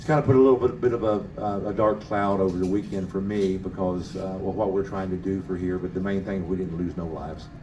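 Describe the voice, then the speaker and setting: Speaking at a very fast pace amid audible room echo, a man with a very deep, low pitch keeps his intonation fairly even. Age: 60s. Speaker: drag racing motorcycle rider. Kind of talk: press conference interview. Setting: media center at race track. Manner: halting, many fillers.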